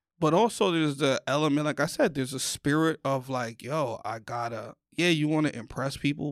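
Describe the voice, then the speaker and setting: A man with a New York accent speaks fairly high at a moderate pace with ordinary pitch variation. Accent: New York (Bronx). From New York, the Bronx. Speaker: comedian. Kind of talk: casual chat. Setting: studio.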